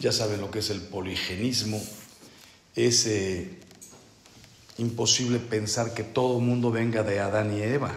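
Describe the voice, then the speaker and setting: A man with a medium pitch speaks at a fairly slow pace in fairly even intonation, with long, frequent pauses, noticeable background noise and audible room echo. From Mexico. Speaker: priest. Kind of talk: spiritual retreat talk.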